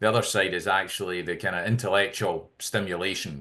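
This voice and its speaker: Over a quiet background, a Scottish-accented man talks at a fairly quick pace in a very deep, low pitch with ordinary pitch variation. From Scotland. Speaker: healthcare tech CEO. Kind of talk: interview.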